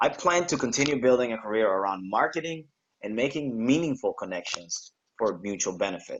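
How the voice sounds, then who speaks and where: Speaking at a fairly quick pace, a man with a Spanish accent uses lively intonation at a medium pitch. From Panama. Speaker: graduating student. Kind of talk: prepared speech.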